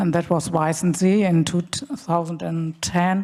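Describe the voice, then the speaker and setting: A woman talks with a German accent and a fairly low pitch. The recording is very clean, with a silent background. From Germany. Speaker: screenwriter. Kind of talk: panel discussion. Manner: halting.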